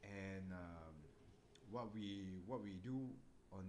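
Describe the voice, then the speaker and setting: The voice shows ordinary pitch variation, and audible room echo can be heard. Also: man. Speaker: book club host. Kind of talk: casual chat. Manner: soft-spoken.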